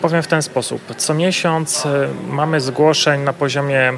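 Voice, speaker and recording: Against noticeable background noise, a man speaks very slowly at a medium pitch with fairly even intonation. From Silesia, Poland. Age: 30s. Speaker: real estate investor and debt-relief business owner. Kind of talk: interview.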